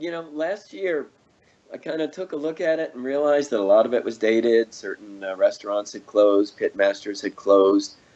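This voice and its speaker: This man has a dark, mellow tone and a medium pitch. He keeps a moderate pace while his loudness swings widely. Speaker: barbecue cookbook author. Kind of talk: casual interview chat.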